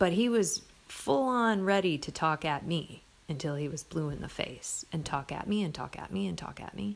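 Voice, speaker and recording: A woman with an American accent speaks at a moderate pace in a very deep, low voice with very wide pitch swings. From US Midwest. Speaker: podcast host. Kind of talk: solo reflective monologue.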